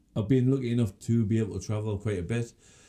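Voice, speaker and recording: In a very clean recording with a silent background, a man with an English accent speaks very fast at a medium pitch with fairly even intonation. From England, Scottish-born. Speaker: podcast host. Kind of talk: casual chat. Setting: studio. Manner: halting.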